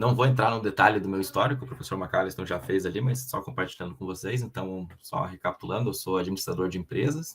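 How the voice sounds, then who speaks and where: His pitch sits very deep and low. This man's speech is very fast. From southern Brazil (Paraná / Rio Grande do Sul). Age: 30s. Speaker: production planning and supply chain professional, guest speaker. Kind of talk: online lecture presentation. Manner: hesitant, with frequent fillers and repetitions.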